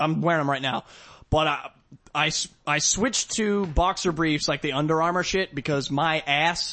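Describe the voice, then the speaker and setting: A man's unremarkable speaking voice, fairly high in pitch, with ordinary pitch variation, very even loudness and a moderate pace. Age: 20s. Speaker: podcast co-host. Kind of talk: casual chat.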